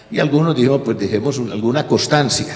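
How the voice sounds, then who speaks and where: Male speech with ordinary pitch variation and noticeable background noise behind it. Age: 80s+. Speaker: author and former professor. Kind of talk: panel talk at a history festival. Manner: halting, with false starts.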